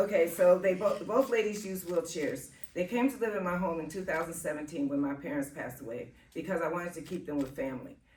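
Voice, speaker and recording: A woman speaks at a very fast pace with a fairly low pitch and lively intonation over noticeable background noise. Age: 60s. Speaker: home care worker. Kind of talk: testimony. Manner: halting.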